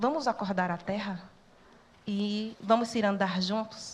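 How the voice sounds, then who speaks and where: A woman speaks at a moderate pace in a medium-pitched voice. Her intonation stays fairly even. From Brazil, sertão of Pernambuco (Northeast). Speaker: social worker and church network educator. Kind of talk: talk to students.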